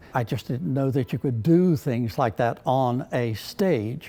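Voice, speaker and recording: A man at a medium pitch, with music in the background. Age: 80s+. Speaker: retired teacher and stage actor. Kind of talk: interview answer.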